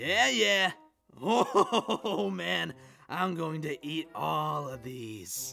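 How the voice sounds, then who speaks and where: Using a put-on character voice, a raspy man speaks at a very slow pace and medium pitch, with very wide pitch swings and big swings in loudness. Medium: dub. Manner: teasing, laid-back.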